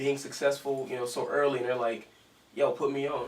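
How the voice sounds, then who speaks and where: Audible room echo and noticeable background noise surround the recording. A man speaks at a fairly quick pace and medium pitch. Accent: American. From US South. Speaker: interview show host. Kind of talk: interview.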